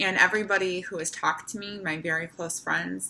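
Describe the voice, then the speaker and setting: A woman's bright, sharp tone carries vocal fry. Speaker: brain tumor patient vlogger. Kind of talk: personal video diary. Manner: slow, deliberate speech after seizures.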